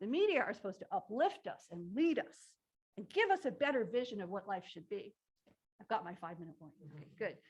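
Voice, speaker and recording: A woman talks at a fairly quick pace in a fairly high pitch. Her pitch swings very widely. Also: big swings in loudness. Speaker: professor. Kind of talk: lecture. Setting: livestreamed lecture hall with audience. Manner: fast.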